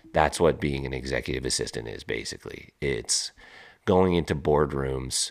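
With vocal fry and a very deep, low pitch, a man speaks at a fairly slow pace in fairly even intonation. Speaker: podcast host. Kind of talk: casual storytelling monologue. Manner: casual, with filler words.

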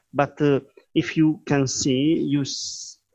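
A man speaks with a non-native accent. His pitch is fairly high and his intonation fairly even. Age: 40s. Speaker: digital artist. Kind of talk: interview. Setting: live online stream. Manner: halting.

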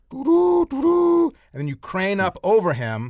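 In a dry, close recording with no echo, a man with an American accent speaks with very wide pitch swings. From US Midwest, Chicago. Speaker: screenwriter and film director. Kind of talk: interview.

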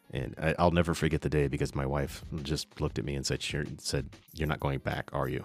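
The delivery is monotone, with flat intonation and vocal fry. It moves at a fairly quick pace. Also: man, very deep, low pitch for a man. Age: 50s. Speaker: photographer and podcast host. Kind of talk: casual monologue. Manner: hesitant, many fillers.

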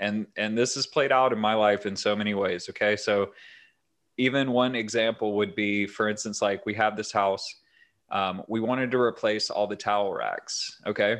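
The man's pitch is fairly low. His intonation is monotone and flat. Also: moderate pace. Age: 30s. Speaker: podcast host on personal finance and crypto. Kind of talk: solo podcast monologue. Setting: home recording with new microphone. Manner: level, even-pitched delivery; hesitant with frequent fillers.

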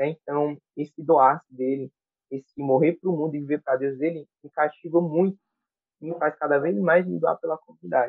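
Speaking in an unremarkable speaking voice, a man holds a moderate pace with fairly even intonation and a fairly high pitch. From Brazil, Piauí. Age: 20s. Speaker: church music ministry coordinator. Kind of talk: casual chat.

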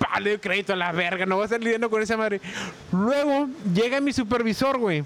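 Delivered at a fairly quick pace with very even loudness, the speech has ordinary pitch variation. Noticeable background noise is present. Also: man, high pitch for a man. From Tijuana, Mexico. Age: 40s. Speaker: former call center worker. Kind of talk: casual chat.

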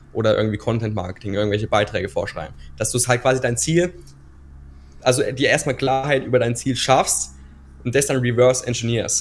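Fairly quick and somewhat breathy, a man speaks at a medium pitch. His intonation stays fairly even. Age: 20s. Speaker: business coach and video creator. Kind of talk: podcast interview. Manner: hesitant, many filler sounds.

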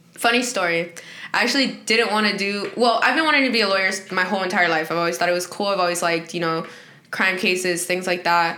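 A woman's medium-pitched voice at a very fast pace, very even in loudness, with ordinary pitch variation, against noticeable background noise. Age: 20s. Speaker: law school student. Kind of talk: casual chat.

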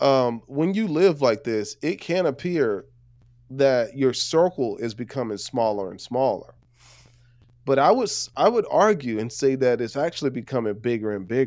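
An ordinary speaking voice with lively intonation, at a moderate pace. The recording is very clean, with a silent background. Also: man, medium pitch for a man. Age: 30s. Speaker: life coach and podcaster. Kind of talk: casual chat.

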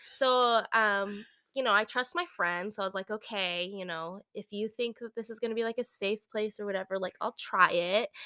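A woman with an American accent, bright and sharp in tone, at a moderate pace with hardly any pauses, ordinary pitch variation, and a dry, close sound with no echo. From US West Coast, San Francisco Bay Area. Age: adult. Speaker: podcast co-host. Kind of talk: casual chat. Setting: home recording in living room.

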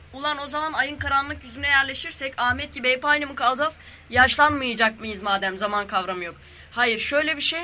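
Against noticeable background noise, a man raises and projects an extremely high voice, speaking fairly quickly with ordinary pitch variation. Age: 20s. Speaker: guest. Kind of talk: casual chat.

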